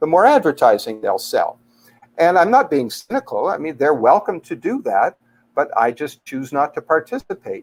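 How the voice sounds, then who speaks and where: With a dry, close sound and no echo, a man speaks at a moderate pace. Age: 60s. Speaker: life coach. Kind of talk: interview. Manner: hesitant with fillers.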